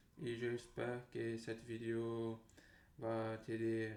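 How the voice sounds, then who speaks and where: A man with a Portuguese accent speaks in a dark, mellow tone and flat, monotone intonation, with audible room echo. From Brazil. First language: Portuguese (speaking French). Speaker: language learner vlogger. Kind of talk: casual monologue vlog. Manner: halting, many fillers and repetitions.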